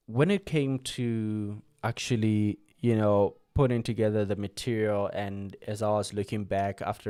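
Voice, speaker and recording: Fairly low in pitch and dark, mellow in tone, a soft-spoken man talks with fairly even intonation on a very clean recording with a silent background. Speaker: UX design podcaster and course creator. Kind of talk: live stream talk. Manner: halting. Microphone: close to the microphone, volume lowered.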